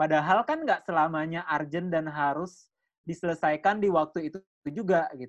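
At a moderate pace, a man speaks in a high pitch with fairly even intonation. The background is quiet. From Bali. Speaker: content creator. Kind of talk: casual chat.

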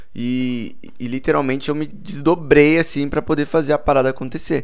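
A man talks at a moderate pace in an unremarkable speaking voice, his pitch variation ordinary. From Boituva, São Paulo state, Brazil. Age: 20s. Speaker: musician. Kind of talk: casual chat.

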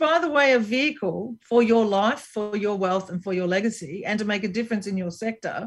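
A woman with an Australian accent, fairly high pitch, ordinary pitch variation, a moderate pace, a somewhat breathy sound, and a quiet background. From Brisbane, Queensland, Australia. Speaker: business strategist and entrepreneur. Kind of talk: interview.

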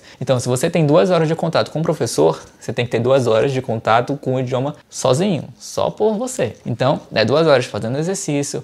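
A normal speaking voice is heard here. The pace is fairly quick, and the pitch varies in an ordinary way. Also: man. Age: 30s. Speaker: English teacher and YouTuber. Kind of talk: tutorial. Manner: casual, conversational.

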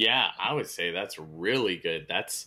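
A man is speaking. His voice carries vocal fry. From California. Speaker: podcast host. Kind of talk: interview.

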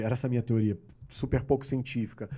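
The background is silent on this very clean recording. A man talks in a dark, mellow tone. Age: 50s. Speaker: entrepreneur and methodology creator. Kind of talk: casual chat.

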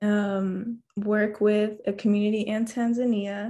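Soft-spoken and somewhat breathy, a woman talks with an American accent. Her pitch is medium and her tone dark and mellow. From mixed: Washington DC, Japan, Canada. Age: 20s. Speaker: engineering student. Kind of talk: interview.

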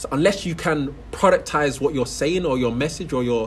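A man's fairly high voice carries vocal fry and ordinary pitch variation. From London. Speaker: reality TV contestant and entrepreneur. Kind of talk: casual interview.

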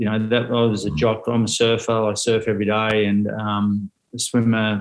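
A man with an Australian accent, medium in pitch, at a fairly slow pace. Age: 40s. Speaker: motivational speaker. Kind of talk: casual chat.

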